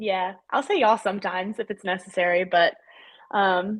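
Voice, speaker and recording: A woman at medium pitch and a moderate pace, against a quiet background. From North Carolina, US (Charlotte area); South African parents. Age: 20s. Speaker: CrossFit athlete. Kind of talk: casual interview chat.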